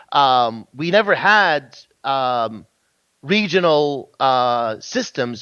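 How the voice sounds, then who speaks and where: A man with a Kuwaiti accent. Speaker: game industry guest. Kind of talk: casual interview chat.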